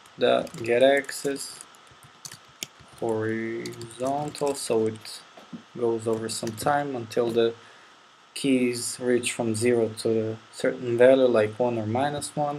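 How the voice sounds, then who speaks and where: Over noticeable background noise, the speaker talks at a very slow pace with a non-native accent. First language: not English. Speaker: game development tutorial maker. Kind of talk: tutorial. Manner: casual, thinking aloud.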